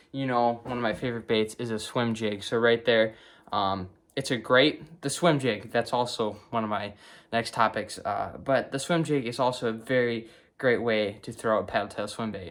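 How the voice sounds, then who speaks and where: A man with a Wisconsin accent, medium pitch, fairly even intonation and a moderate pace. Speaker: fishing video creator. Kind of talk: tutorial. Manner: hesitant, many fillers.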